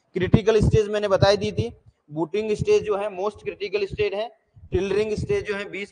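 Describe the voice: A moderate pace with fairly even intonation. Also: man.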